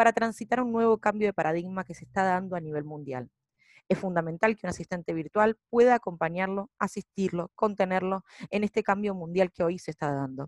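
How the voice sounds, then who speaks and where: Using an unremarkable speaking voice, a woman talks at a fairly quick pace with medium pitch and ordinary pitch variation, recorded with a dry, close sound with no echo against a quiet background. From Argentina. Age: 30s. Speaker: business founder. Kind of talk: prepared presentation. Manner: formal.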